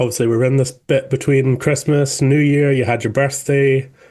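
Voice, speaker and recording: This man has a plain, everyday voice, pitched fairly high, and talks at a moderate pace. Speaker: podcast host. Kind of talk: interview questions.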